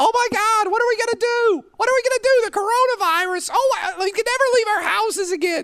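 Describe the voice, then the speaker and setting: In a put-on character voice, squeaky and whiny words rush out at a very fast pace with hardly any pauses. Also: man, extremely high pitch for a man. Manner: panicked, whiny.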